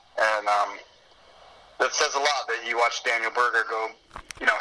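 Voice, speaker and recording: Background noise is noticeable throughout. The man talks at a fairly quick clip. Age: 30s. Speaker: golf caddie. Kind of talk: casual chat.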